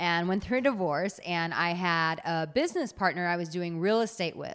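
In a very clean recording with a silent background, a woman talks at a moderate pace. Her medium-pitched voice has an animated tone and ordinary pitch variation. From United States. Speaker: dating and relationship coach. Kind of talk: casual interview.

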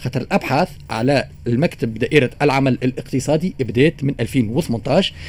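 Here a man talks at a medium pitch and a moderate pace, with hardly any pauses. His voice is somewhat breathy, with ordinary pitch variation. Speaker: radio news segment presenter. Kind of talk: news commentary segment.

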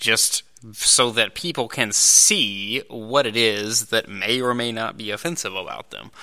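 A man with a normal speaking voice talks at a fairly slow pace, medium in pitch with ordinary pitch variation. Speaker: podcast host. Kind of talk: commentary and analysis intro. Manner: casual, filler-heavy, belligerent.

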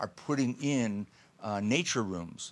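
A man with an American accent, a normal speaking voice, medium pitch, ordinary pitch variation and a fairly slow pace. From Buffalo area, western New York. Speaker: mountain rescuer and outdoor therapy advocate. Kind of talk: interview conversation.

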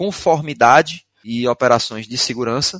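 A medium-pitched man with a Pernambuco accent and ordinary pitch variation, in dry, close sound with no echo and a quiet background. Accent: drawling Pernambuco. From Recife, Pernambuco, northeast Brazil. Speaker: IT security instructor. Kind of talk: webinar presentation.

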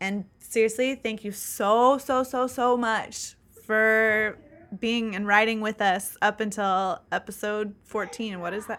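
This woman has an unremarkable speaking voice, pitched fairly high, with fairly even intonation. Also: very clean recording, silent background. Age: 20s. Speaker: podcast co-host on grief and death. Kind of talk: casual chat.

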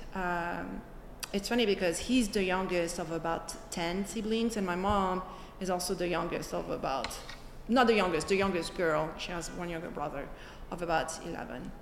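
Audible room echo surrounds a woman as she speaks at a moderate pace. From France, Paris suburbs. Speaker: interviewee, daughter of Vietnamese immigrants. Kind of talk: interview testimony. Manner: halting, many fillers.

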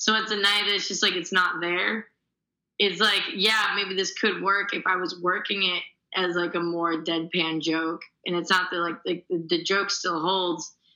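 The woman's tone is bright and sharp, her intonation monotone and flat, as she talks at a fairly slow pace with an American accent. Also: medium pitch for a woman. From Chicago suburbs, US Midwest. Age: 20s. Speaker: stand-up comedian. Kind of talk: casual chat. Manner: laid back.

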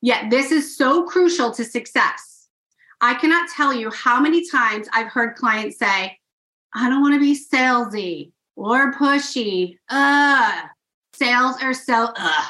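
A woman with a bright, sharp, high voice projects it loudly, her tone animated and enthusiastic and her intonation lively, while keeping a fairly slow pace. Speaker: podcast host. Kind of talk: podcast intro and interview. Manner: animated, enthusiastic.

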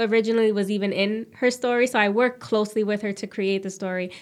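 A woman's normal speaking voice of medium pitch, with fairly even intonation. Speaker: TV host. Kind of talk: interview.

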